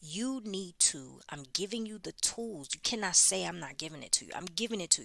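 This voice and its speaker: With a bright, sharp tone, vocal fry and lively intonation, a woman talks at a fairly quick pace. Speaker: podcast host giving prophetic messages. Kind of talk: unedited prophetic message monologue. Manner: urgent, emphatic.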